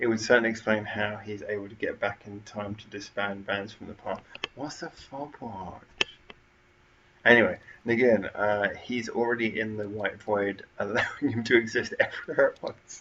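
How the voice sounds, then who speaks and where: Amid noticeable background noise, the speaker keeps a moderate pace and fairly even intonation while the loudness swings widely. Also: man, medium pitch for a man. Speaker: livestream host. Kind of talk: live stream chat. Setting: home front room. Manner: quieter than usual.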